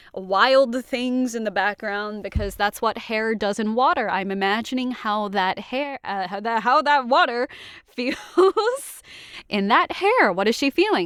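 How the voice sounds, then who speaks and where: A woman speaks with lively intonation in a dry, close recording with no echo but noticeable background noise. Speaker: voice actor. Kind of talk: casual talk to camera. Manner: chatty, rambling.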